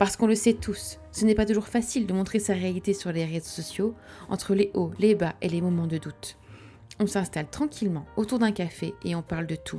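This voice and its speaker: A woman's medium-pitched voice at a moderate pace with ordinary pitch variation, music in the background. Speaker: podcast host. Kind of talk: podcast intro.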